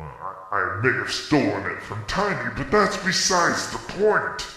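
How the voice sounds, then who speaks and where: The speech moves at a fairly slow pace, with a clear echo. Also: man. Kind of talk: comic host banter. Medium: machinima. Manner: smug, chatty, showbiz patter.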